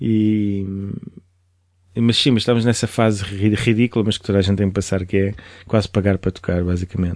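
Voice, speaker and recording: Speech runs at a fairly quick pace with long, frequent pauses, fairly even intonation and very even loudness. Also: man, fairly low pitch for a man. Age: 30s. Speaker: DJ and music producer. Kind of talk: casual interview chat.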